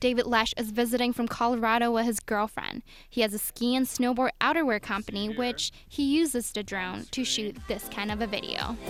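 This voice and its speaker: A woman's fairly high voice at a fairly quick pace, with fairly even intonation and music in the background. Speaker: TV news reporter. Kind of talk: TV news report.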